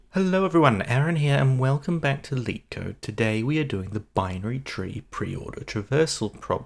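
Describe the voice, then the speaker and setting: Soft-spoken and medium in pitch, a man talks at a moderate pace with lively intonation and hardly any pauses. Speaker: coding tutor. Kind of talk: tutorial. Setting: home, early morning.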